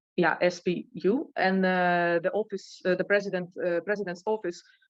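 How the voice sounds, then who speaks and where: A woman with a Ukrainian accent speaks at a fairly slow pace. Her pitch is medium and the background is quiet. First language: Ukrainian or Russian. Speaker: Ukrainian interviewee. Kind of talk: interview.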